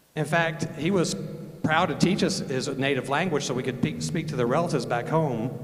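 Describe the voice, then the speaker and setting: Audible room echo and noticeable background noise surround a man's voice. He talks fairly quickly with a fairly high pitch and ordinary pitch variation. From northern Alabama, Huntsville area. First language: German. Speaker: Air Force veteran and speaker. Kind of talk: speech at a rally. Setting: stage with audience, handheld mic.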